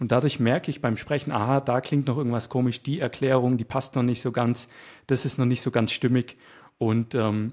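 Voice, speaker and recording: Dark, mellow tone in a very clean recording with a silent background. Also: man. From Swabia, near Stuttgart, Germany. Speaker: web developer and YouTuber. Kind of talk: casual interview conversation. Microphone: good microphone.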